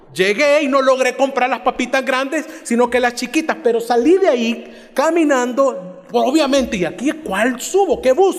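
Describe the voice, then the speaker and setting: Over noticeable background noise, a man talks at a moderate pace with hardly any pauses. His pitch is extremely high, with ordinary variation and very even loudness. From El Salvador, Cojutepeque. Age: 40s. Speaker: pastor. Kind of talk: sermon.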